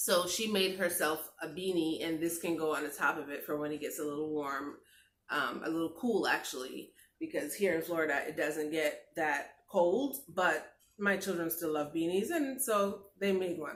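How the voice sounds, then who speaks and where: This is an ordinary speaking voice, moving at a moderate pace with ordinary pitch variation. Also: woman, fairly low pitch for a woman. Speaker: lifestyle vlogger. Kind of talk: craft tutorial vlog.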